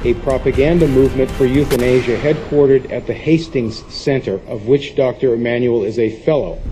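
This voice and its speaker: Music plays in the background. The speech moves at a fairly quick pace with fairly even intonation. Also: man. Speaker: public commenter at hearing. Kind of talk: prepared public testimony. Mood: accusatory, urgent. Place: meeting room.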